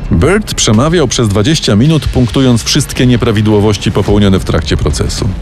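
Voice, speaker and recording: A man with a fairly low pitch speaks in a dramatic tone at a moderate pace, with hardly any pauses, very even loudness and music in the background. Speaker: true-crime narrator. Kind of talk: true-crime narration, scripted storytelling. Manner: measured, dramatic, suspenseful narration.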